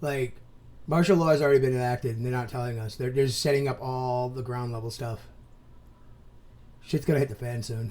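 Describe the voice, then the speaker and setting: A man at a medium pitch with fairly even intonation, a fairly quick pace and long, frequent pauses. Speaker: commentary youtuber. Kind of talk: reaction commentary. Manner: loud, expressive; fast, rambling with false starts.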